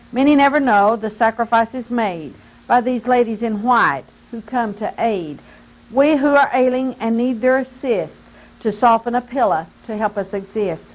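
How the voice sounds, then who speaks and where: A woman's unremarkable speaking voice, fairly high in pitch, with ordinary pitch variation and a moderate pace. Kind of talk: poetry reading tribute. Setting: recorded interview.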